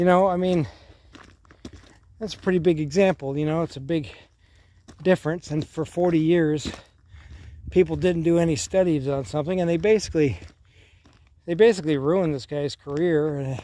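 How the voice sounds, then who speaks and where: Fairly high in pitch with a dark, mellow tone, a man talks at a moderate pace with ordinary pitch variation and long, frequent pauses. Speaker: older man presenting a persona of 'Grandpa' who addresses 'grandkids'. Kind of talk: casual talk to camera, rambling outdoor vlog. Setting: outdoors on a hike. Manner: casual, conversational, rambling.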